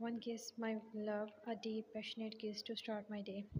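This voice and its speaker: A woman uses a husky, put-on character voice with a fairly high pitch. She talks at a moderate pace in a flat monotone at very even loudness. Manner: playful, affectionate.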